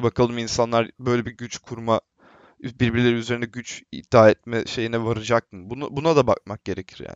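A plain, everyday voice at a fairly quick pace. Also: man. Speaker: film student. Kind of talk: casual discussion.

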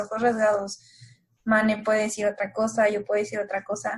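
Her voice is fairly high-pitched and somewhat breathy as the woman speaks. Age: 20s. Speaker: consultant, contest-winning guest. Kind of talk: casual chat.

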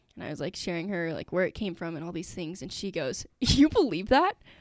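A woman with an American accent uses an ordinary speaking voice at medium pitch and a moderate pace, with lively intonation and big swings in loudness. The recording is very clean, with a silent background and a dry, close sound with no echo. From Utah, US. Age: 20s. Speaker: engineering student. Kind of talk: testimony.

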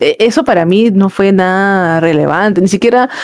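In a dry, close sound with no echo, a woman with an unremarkable speaking voice talks at a medium pitch with ordinary pitch variation. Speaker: podcast guest. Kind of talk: casual chat.

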